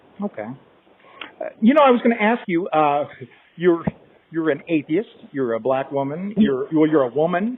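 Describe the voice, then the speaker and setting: A man speaks with a fairly high pitch and very wide swings in pitch. There are long, frequent pauses, and background noise is noticeable. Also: moderate pace. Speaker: interviewer. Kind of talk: interview questions.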